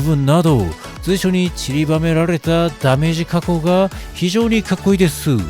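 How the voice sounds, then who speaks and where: Music plays underneath as a man talks, his intonation lively. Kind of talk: fashion item review narration. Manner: quirky, idiosyncratic narration.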